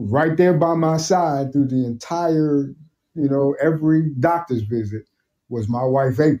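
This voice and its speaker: This man speaks in a New York accent at a fairly high pitch. His tone is dark and mellow. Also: ordinary pitch variation. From Brooklyn, New York. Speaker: military veteran and cancer survivor. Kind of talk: casual interview.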